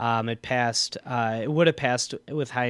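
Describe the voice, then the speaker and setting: Speaking in an Upper Midwest accent, a man keeps a medium pitch and fairly even intonation. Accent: Upper Midwest American. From US Midwest, Milwaukee, Wisconsin. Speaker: state legislator. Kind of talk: casual interview. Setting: radio studio.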